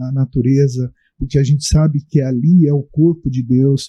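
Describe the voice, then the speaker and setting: A man's dark, mellow, somewhat breathy voice, fairly slow and fairly even in intonation, dry and close with no echo. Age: 60s. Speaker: Umbanda religious leader. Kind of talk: panel discussion. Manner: hesitant, many fillers.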